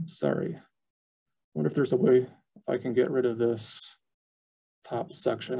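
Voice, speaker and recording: Over a quiet background, a man with a dark, mellow tone and vocal fry talks at a fairly quick pace, broken by long, frequent pauses. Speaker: archivist. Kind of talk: educational webinar presentation. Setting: video call. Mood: briefly apologetic over screen glitch. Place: office. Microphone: webcam.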